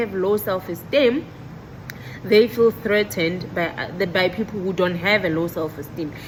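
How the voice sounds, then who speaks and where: Speech comes at a fairly quick pace with ordinary pitch variation. Noticeable background noise runs underneath. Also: woman. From South Africa. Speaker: medical technologist and vlogger. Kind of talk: casual vlog monologue. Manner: loud; bubbly, animated.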